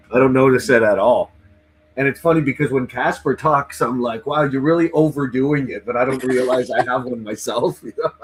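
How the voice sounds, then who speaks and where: A man's unremarkable speaking voice at medium pitch, moderate in pace, with fairly even intonation. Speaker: livestream host interviewing band fans. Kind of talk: casual chat.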